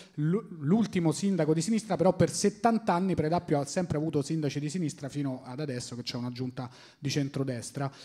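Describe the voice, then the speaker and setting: Fairly high in pitch, this man's voice has a dark, mellow tone. He talks at a fairly quick pace with ordinary pitch variation. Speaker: comedian podcast host. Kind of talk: casual chat. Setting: stage with audience.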